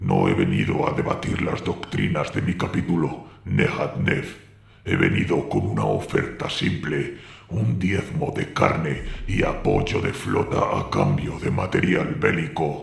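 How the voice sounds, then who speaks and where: A put-on character voice from a man, very deep and low, at a fairly slow pace with a slight echo. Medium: read story. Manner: steady, controlled, blunt.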